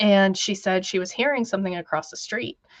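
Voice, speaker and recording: A woman with an American accent, medium pitch and moderate pace against a quiet background. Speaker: guest recounting family Bigfoot encounters. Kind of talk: storytelling in a live radio interview.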